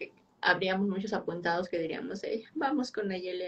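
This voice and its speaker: This is a woman with a Mexican accent. Her pitch variation is ordinary. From Mexico. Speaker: podcast host, biologist; podcast host. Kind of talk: interview. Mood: warm, friendly.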